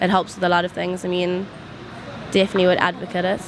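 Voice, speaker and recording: Noticeable background noise runs under a woman speaking very fast at a medium pitch. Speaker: law student. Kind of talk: street interview.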